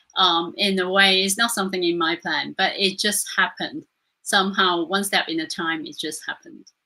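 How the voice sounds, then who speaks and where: This woman has a medium pitch and a bright, sharp tone, with a non-native accent. Her pitch varies in an ordinary way, and the recording is very clean with a silent background. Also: moderate pace. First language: not English. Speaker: Reiki master. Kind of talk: interview. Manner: hesitant, with fillers.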